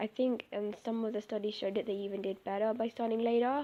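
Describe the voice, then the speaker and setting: With an English accent, a woman talks at a fairly quick pace in a fairly high pitch. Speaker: vlogger, parent. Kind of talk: casual vlog commentary. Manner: animated.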